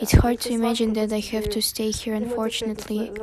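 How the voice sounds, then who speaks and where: Noticeable background noise sits behind a woman speaking at a fairly quick pace. Her fairly high voice stays monotone with flat intonation. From western Ukraine, Ivano-Frankivsk. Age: 30s. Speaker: war refugee. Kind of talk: testimony.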